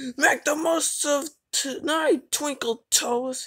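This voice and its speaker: A woman speaks very slowly in a put-on character voice, high-pitched with ordinary pitch variation. Her delivery is hissing. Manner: hissing, menacing.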